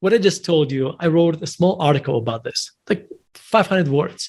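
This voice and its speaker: A man with a non-native accent speaks at a high pitch. His pace is moderate and his pitch variation ordinary. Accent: noticeable foreign. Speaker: investment manager and author. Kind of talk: interview. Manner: halting, many restarts.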